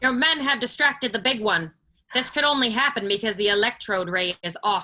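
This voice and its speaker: A female-sounding voice puts on a character voice. It moves at a fairly quick pace. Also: fairly high pitch for a woman. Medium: stage play. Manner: formal, stiff diction.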